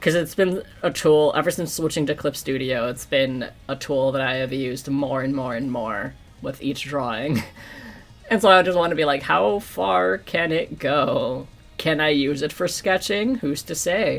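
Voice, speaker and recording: Someone with an American accent speaks at a moderate pace while music plays in the background. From New York. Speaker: streamer and digital artist. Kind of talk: casual livestream chat while drawing. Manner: casual, rambling.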